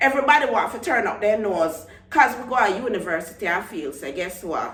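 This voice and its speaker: A woman with a Jamaican accent at a fairly quick pace, over noticeable background noise. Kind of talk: casual vlog talk to camera.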